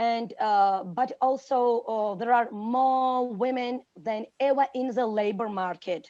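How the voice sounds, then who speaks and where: A woman's very slow speech in a Georgian accent, fairly high in pitch, dark and mellow in tone, with ordinary pitch variation and a quiet background. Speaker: teacher. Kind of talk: panel talk. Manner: halting.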